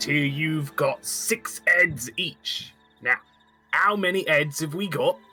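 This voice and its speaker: Faint music plays in the background as the speaker uses a put-on character voice. The pace is very slow and the pitch sits in the middle. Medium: actual play. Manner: smug, condescending.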